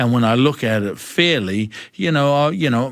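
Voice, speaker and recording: A man with a New Zealand accent speaks at a moderate pace with ordinary pitch variation, on a very clean recording with a silent background. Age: 60s. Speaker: mental health advocate. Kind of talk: interview. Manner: animated.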